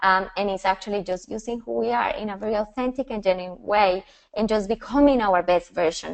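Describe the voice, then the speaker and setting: Talking at a fairly quick pace, a woman with a medium pitch uses lively intonation and a strong Colombian accent. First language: Spanish. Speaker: personal branding and style coach. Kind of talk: webinar presentation. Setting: online webinar. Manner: passionate, sometimes fast.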